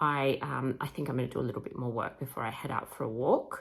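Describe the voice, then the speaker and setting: Speaking at a very fast pace, a woman has an Australian accent. The recording is very clean, with a silent background. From Australia, Sydney. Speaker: history podcaster and content creator. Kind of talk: casual vlog talk. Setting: at home, kitchen.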